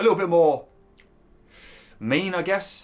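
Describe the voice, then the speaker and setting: This is a man talking. He has an East London accent. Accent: East London and Essex. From East London / Essex. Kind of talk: casual, working-class.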